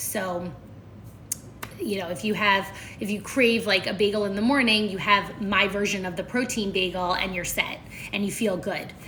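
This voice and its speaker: An American accent marks this woman's medium-pitched voice, with fairly even intonation at a moderate pace. Audible room echo and noticeable background noise surround her. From Philadelphia, US. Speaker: nutrition coach. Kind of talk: live stream chat.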